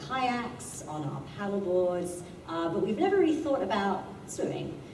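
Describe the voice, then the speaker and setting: A woman with a British accent at a fairly slow pace, amid noticeable background noise and audible room echo. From UK. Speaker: astronomy professor giving a talk. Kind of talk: public talk. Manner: hesitant, with many fillers.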